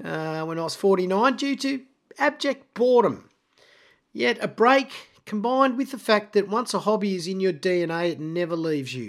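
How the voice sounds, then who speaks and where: A man with an Australian accent speaks at a moderate pace in a high pitch, swinging very widely up and down. The recording is very clean, with a silent background. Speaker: podcast host. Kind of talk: scripted monologue. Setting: home recording.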